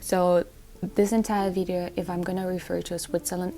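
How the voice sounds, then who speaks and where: Someone with a non-native accent talks at a moderate pace with fairly even intonation. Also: woman. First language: not English. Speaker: lifestyle vlogger. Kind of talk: casual vlog talk to camera. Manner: halting with self-corrections.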